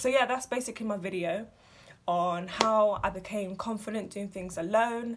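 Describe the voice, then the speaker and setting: There is a somewhat breathy quality to this woman's voice. She keeps a moderate pace. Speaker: vlogger. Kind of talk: casual advice vlog.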